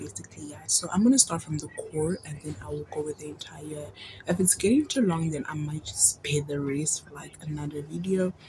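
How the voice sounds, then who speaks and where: Speech at a fairly quick pace comes through over noticeable background noise. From Congo. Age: 20s. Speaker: vlogger. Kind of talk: personal testimony vlog. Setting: filmed at night. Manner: hesitant, many fillers.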